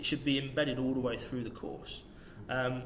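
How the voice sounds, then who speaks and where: There is noticeable background noise while a man is talking. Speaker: strength and conditioning coach. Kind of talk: podcast interview answer.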